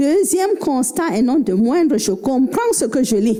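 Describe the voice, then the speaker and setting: Noticeable background noise behind a woman speaking at a fairly slow pace with lively intonation. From Cameroon. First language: Fulfulde (speaking French). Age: 50s. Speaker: novelist. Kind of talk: book club talk.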